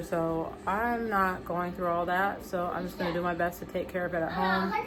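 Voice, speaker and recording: A woman speaks with an American accent amid noticeable background noise and audible room echo. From American West Indian. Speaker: vlogger and homemaker mother. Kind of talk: casual vlog chat.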